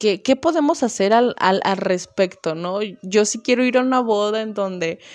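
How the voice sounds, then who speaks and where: A woman talks at a fairly slow pace in an animated tone. Her pitch varies in an ordinary way. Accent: western Mexican. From Mexico, small town in Jalisco area. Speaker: podcast host, university student. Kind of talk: casual monologue. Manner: animated, laughing often.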